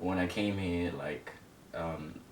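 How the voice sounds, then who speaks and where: Monotone, flat intonation at a fairly slow pace, with noticeable background noise and audible room echo. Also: man. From Zimbabwe, moved to England at nine. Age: 20s. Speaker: interview guest telling life story. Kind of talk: casual interview.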